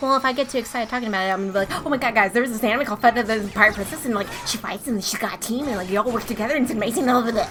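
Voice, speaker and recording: Over music in the background, a woman speaks at a very fast pace with hardly any pauses. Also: fairly high pitch for a woman, ordinary pitch variation. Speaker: streamer. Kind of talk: casual chat. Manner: animated.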